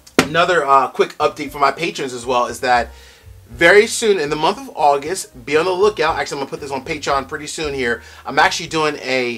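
This man talks at a very fast pace. His pitch varies in an ordinary way over light background noise. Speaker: bourbon review channel host. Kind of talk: casual vlog chat. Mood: upbeat, grateful. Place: home room.

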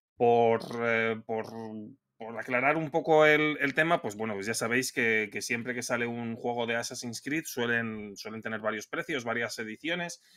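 Bright and sharp in tone, a man speaks at a moderate pace with ordinary pitch variation. The background is quiet. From Spain. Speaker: video game podcast co-host. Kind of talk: casual chat. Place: home room.

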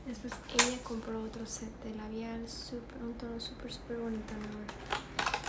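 A woman speaking at a fairly slow pace over loud background noise. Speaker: ASMR content creator. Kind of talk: whispered ASMR haul, hushed show-and-tell of purchases. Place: home room. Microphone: phone near.

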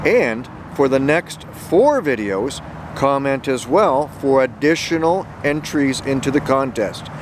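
Noticeable background noise accompanies a man speaking at a fairly slow pace in a dry sound with no echo. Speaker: geocaching vlogger. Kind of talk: casual vlog chat. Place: open country. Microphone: phone near.

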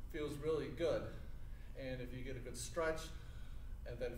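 There is audible room echo and light background noise. A man speaks at a moderate pace. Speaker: teacher demonstrating exercise. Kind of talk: tutorial. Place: gym.

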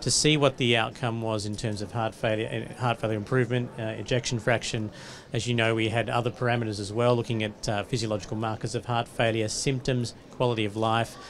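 The speech moves at a very fast pace in a flat, monotone way. There is light background noise. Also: man. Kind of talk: interview answer. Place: studio. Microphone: handheld.

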